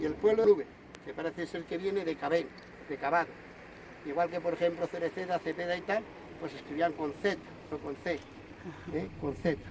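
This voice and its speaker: A high-pitched man over noticeable background noise, fairly even in intonation, fairly quick, with long, frequent pauses. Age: 60s. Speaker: local historian. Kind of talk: informal talk to visitors.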